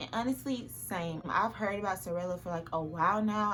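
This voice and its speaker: A woman talks with audible room echo around her voice. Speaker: fashion and lifestyle youtuber. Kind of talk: try-on haul vlog. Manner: animated; fast.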